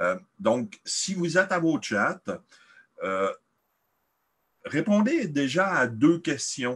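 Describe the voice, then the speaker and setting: A man with a high pitch speaks at a very slow pace with long, frequent pauses and very wide pitch swings over a quiet background. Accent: Quebec. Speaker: event moderator. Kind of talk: online presentation moderation.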